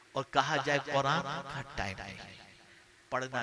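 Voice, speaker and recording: Noticeable background noise sits under this man's medium-pitched speech. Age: 60s. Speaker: Islamic preacher. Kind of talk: sermon. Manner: animated.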